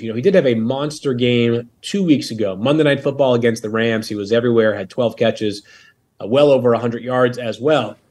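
The background is quiet as a man speaks at a fairly quick pace. He has an unremarkable speaking voice with a medium pitch. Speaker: fantasy football analyst. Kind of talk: casual chat.

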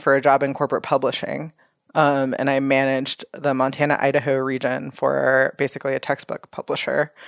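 A woman with an American accent and a very deep, low pitch keeps her loudness very even. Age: 30s. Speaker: hunting magazine editor. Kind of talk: casual chat.

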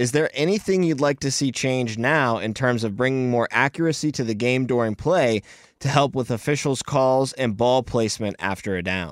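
A man with an ordinary speaking voice, medium pitch, ordinary pitch variation, a moderate pace and hardly any pauses, in a very clean recording with a silent background. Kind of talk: casual sports Q&A conversation.

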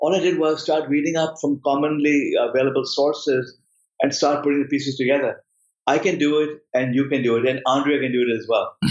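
Fairly high in pitch, a man talks at a fairly quick pace in a plain, everyday voice. His loudness is very even and his intonation fairly even. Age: 50s. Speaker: professor. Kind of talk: interview.

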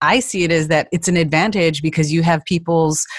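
A woman with a plain, everyday voice talks at a moderate pace in a fairly low pitch. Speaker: podcast host. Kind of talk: interview.

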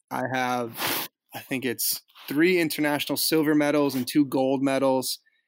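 A man with an American accent has an unremarkable speaking voice, a fairly high pitch and fairly even intonation. He talks at a moderate pace in a very clean recording with a silent background. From Boston suburbs, Massachusetts. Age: 20s. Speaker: former pro hockey player, vegan cyclist activist. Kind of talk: casual interview.

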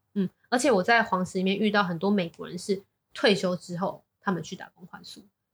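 A woman talks very fast at a medium pitch in a Taiwanese accent. Her voice is somewhat breathy, with ordinary pitch variation. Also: big swings in loudness. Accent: Taiwanese Mandarin. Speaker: business executive. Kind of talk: casual interview chat.

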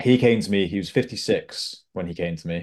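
A man with an ordinary speaking voice, fairly low pitch, fairly even intonation and a moderate pace, against a quiet background. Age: 20s. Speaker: executive health coach. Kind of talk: interview.

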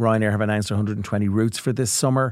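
Heard in a very clean recording with a silent background, a man with an Irish accent speaks with fairly even intonation. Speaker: travel company chief executive and podcast co-host. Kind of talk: casual chat.

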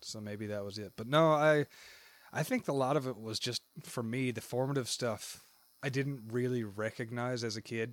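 A man's plain, everyday voice at medium pitch, with a moderate pace and fairly even intonation. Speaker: podcast co-host. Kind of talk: casual chat. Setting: Discord call.

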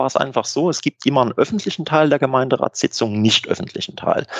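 In a dry, close sound with no echo, a man with a plain, everyday voice speaks at a medium pitch with lively intonation. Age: 40s. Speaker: tax auditor and club board candidate. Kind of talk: interview. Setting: video call.

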